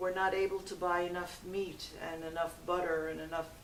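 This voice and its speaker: A woman talks with audible room echo. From New York City, Brooklyn. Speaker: interviewee. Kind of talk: interview testimony. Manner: halting.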